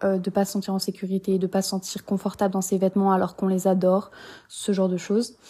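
A woman with a dark, mellow tone and a somewhat breathy voice talks at a fairly quick pace. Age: 20s. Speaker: podcast host. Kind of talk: casual monologue.

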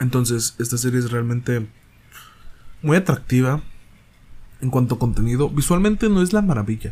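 This man talks at a moderate pace with a medium pitch and a somewhat breathy voice. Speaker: solo podcast host reviewing films and series. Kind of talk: casual solo monologue review. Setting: home recording in bedroom. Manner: halting, hesitant with restarts.

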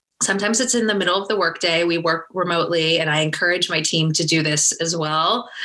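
A woman with an American accent talks at a very fast pace with hardly any pauses, at a fairly low pitch and with very even loudness. Noticeable background noise can be heard behind her. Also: ordinary pitch variation. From New Jersey, US; high school in UK. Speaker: startup founder. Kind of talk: interview.

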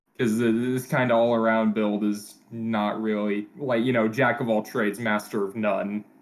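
A man with an American accent speaks at a moderate pace with hardly any pauses. His medium-pitched voice carries monotone, flat intonation. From US Midwest. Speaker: guest, team co-general manager in a simulated baseball league. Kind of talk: casual chat.

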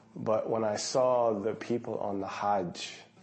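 Speaking at a fairly slow pace with flat, monotone intonation, a man with an American accent is heard amid audible room echo. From US. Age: 40s. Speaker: fitness instructor. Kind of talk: documentary interview.

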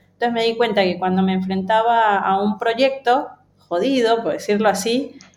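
Female speech, moderately paced, with ordinary pitch variation. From Ecuador. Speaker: UX design lead. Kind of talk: interview.

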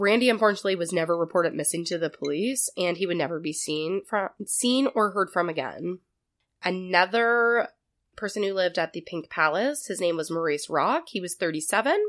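Her voice is a plain, everyday voice, a woman at medium pitch with lively intonation and a fairly quick pace, on a very clean recording with a silent background. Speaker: podcast host. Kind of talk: true crime storytelling, casual.

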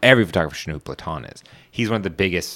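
Over a silent background in a very clean recording, a man with an American accent rattles along at a very fast pace, his bright, sharp tone carrying vocal fry and ordinary pitch variation. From Washington DC area, US. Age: 20s. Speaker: podcast host. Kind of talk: casual chat. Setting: studio. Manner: casual, laid-back.

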